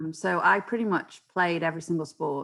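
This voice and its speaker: A woman with a British accent speaks at a fairly low pitch. The recording is very clean with a silent background, and her intonation is fairly even. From England, Stoke-on-Trent. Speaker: sports club founder. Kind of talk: interview conversation. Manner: hesitant with fillers.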